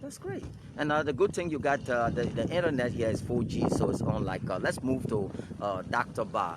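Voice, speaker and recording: With lively intonation and a fairly quick pace, the voice comes through noticeable background noise. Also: man, medium pitch for a man. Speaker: news agency director and interviewer. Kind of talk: interview. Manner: hesitant, many fillers.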